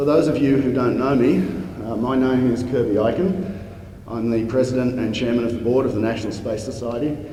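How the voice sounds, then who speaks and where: Speaking at a fairly quick pace with an Australian accent, a man at medium pitch is heard with audible room echo and noticeable background noise. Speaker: space society president opening a conference. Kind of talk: conference welcome speech. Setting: conference stage with audience.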